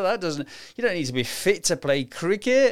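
Over a silent background in a very clean recording, a man talks very fast with very wide pitch swings. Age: 60s. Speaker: podcast host, amateur runner. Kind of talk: solo podcast monologue. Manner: casual, hesitant with many fillers.

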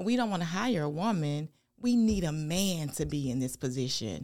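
In a Southern US accent, a woman with a very deep, low pitch and a dark, mellow tone speaks at a moderate pace in a very clean recording with a silent background. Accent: Southern US (Georgia). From US South, rural Georgia. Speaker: pastor. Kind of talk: casual interview.

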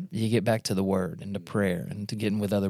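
A man talks at a fairly quick pace in an ordinary speaking voice. His pitch sits fairly low, with ordinary pitch variation. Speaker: fill-in podcast host. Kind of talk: casual church podcast discussion. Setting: studio.

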